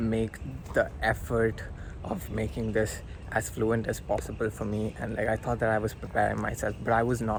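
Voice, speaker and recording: Noticeable background noise behind a man speaking at a moderate pace. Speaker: vlogger. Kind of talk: casual vlog monologue. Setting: outdoors by a river. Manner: halting, stumbling over words; hesitant with filler words.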